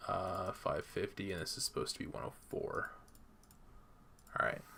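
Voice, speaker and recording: Bright and sharp in tone, a man's extremely high voice makes very wide pitch swings at a moderate pace. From Canada. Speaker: gaming streamer. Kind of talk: live stream gameplay commentary. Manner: casual, thinking aloud.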